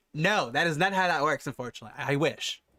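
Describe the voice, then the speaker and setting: In a dry, close sound with no echo, a man talks with a bright, sharp tone and lively intonation. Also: very clean recording, silent background. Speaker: tech streamer. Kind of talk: live stream commentary while gaming. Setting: live stream. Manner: fast; casual, chatty.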